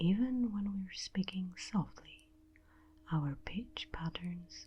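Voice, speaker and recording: A woman speaks very slowly in a somewhat breathy voice. Her tone is dark and mellow, with ordinary pitch variation. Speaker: ASMR creator. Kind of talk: scripted narration. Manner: soft-spoken; normal voice, not whispering.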